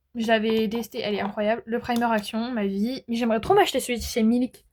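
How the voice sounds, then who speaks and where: A woman is speaking. Her voice sits high in pitch. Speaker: beauty vlogger. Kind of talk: casual chat. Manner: fast; animated.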